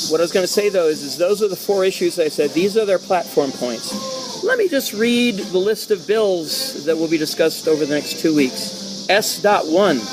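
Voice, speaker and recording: Loud and high-pitched, a man speaks at a moderate pace with ordinary pitch variation while music plays in the background. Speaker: political talk show host. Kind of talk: casual political discussion.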